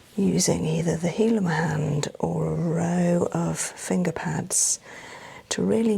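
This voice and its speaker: A soft-spoken woman at a very slow pace, with noticeable background noise. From England. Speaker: massage therapist. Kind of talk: massage narration.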